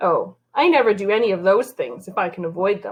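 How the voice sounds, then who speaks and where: Using a put-on character voice, a woman talks at a fairly quick pace and medium pitch. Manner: sour, grumpy.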